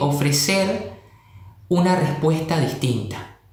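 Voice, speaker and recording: A man speaks with a fairly high pitch. The recording has audible room echo and noticeable background noise. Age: 20s. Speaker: history teacher. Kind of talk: panel discussion. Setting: video call.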